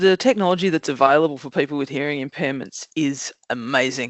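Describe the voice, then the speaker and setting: With an Australian accent, a woman speaks in a very deep, low voice at a moderate pace with ordinary pitch variation. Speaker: job coach. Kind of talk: podcast interview. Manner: loud.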